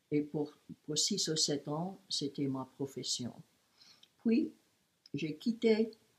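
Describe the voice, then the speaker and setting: A woman's very deep, low, somewhat breathy voice at a very slow pace, with lively intonation and long, frequent pauses. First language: English (speaking French). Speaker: great-aunt interviewed for school project. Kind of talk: personal life story. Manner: halting.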